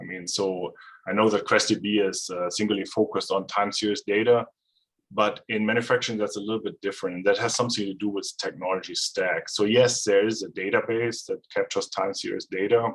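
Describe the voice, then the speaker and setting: A man talks at a fairly quick pace with a German accent. The background is quiet. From Germany. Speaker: data scientist and consultant; presenter. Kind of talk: technical presentation. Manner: hesitant, many fillers. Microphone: video call.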